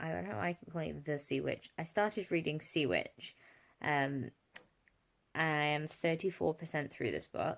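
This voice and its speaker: A woman with a very deep, low pitch and vocal fry speaks at a moderate pace with lively intonation. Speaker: book vlogger. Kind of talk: casual vlog. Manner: hesitant, filler-heavy.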